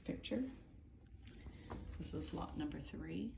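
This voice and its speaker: There is audible room echo around the voice. A woman speaks at a fairly slow pace. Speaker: estate sale auctioneer. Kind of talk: video walkthrough narration. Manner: rambling, caffeinated energy.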